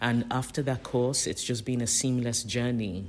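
In a British accent, a man speaks at a medium pitch with fairly even intonation. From UK (born in Nigeria). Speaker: ceramic artist. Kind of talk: interview. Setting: artist studio.

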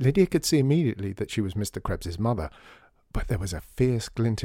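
The text is read aloud plainly, and the intonation is lively.

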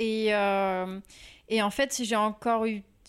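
Very slowly, a woman speaks at a fairly high pitch with fairly even intonation. The recording is very clean, with a silent background. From Normandy, France (Rouen). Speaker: illustrator. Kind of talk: interview.

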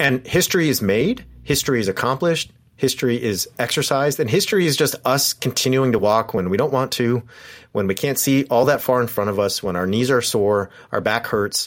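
On a very clean recording with a silent background, a man with an unremarkable speaking voice talks at a fairly quick pace and medium pitch, with ordinary pitch variation and very even loudness. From Southern California, Orange County. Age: 40s. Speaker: professor. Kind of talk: casual chat.

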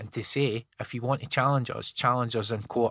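A man speaks at a fairly quick pace with fairly even intonation. The sound is dry and close, with no echo. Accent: central Scottish. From Scotland, Falkirk area. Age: 40s. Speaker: drug reform campaigner. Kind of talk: casual interview. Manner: halting, repetitive.

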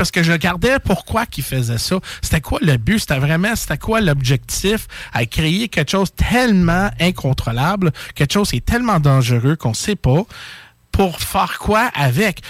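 In a dry, close recording with no echo, a man with a fairly high voice speaks at a fairly slow pace, his pitch swinging very widely. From Quebec, Châteauguay. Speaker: paranormal live streamer. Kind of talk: casual chat.

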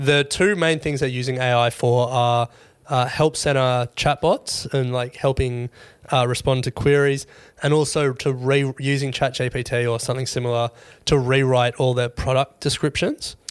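A man with an Australian accent speaks at a moderate pace and medium pitch, in a monotone, flat intonation. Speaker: podcast co-host. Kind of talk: casual chat.

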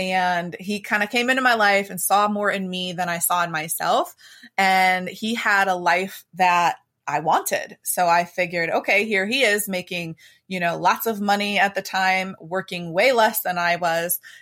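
In an American accent, a woman talks at a moderate pace in an unremarkable speaking voice, on a very clean recording with a silent background. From US, Pittsburgh area, Pennsylvania. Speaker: mindset coach and financial advisor. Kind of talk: podcast interview.

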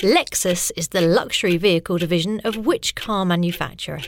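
A woman with a normal speaking voice and medium pitch talks at a moderate pace, in a dry, close sound with no echo and a very clean recording with a silent background. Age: 30s. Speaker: quiz podcast host. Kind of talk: reading quiz questions.

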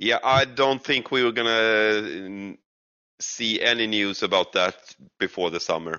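With a Swedish accent, a man speaks at a fairly slow pace, using a medium pitch and ordinary pitch variation. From Sweden. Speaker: gaming streamer. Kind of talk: casual chat. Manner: halting.

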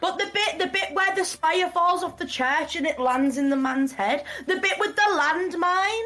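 A woman's raised, projected voice, extremely high in pitch, bright and sharp in tone, with lively intonation at a moderate pace. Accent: British. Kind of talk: casual chat. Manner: loud.

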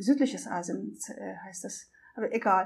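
A woman's dark, mellow voice in a Russian accent, on a very clean recording with a silent background. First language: Russian (speaking German). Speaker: documentary filmmaker and traveling single mother. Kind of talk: interview. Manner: hesitant with many fillers.

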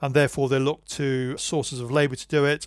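Over a very clean, silent background, a man with a plain, everyday voice talks at a moderate pace and a fairly high pitch. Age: 50s. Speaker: historian and archaeologist. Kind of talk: interview.

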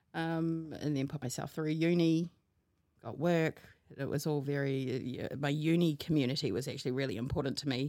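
A woman with a New Zealand accent speaks at a moderate pace in a very deep, low voice. Her tone is dark and mellow, and her intonation is fairly even. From New Zealand, Hamilton. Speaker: podcast guest. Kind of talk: casual chat.

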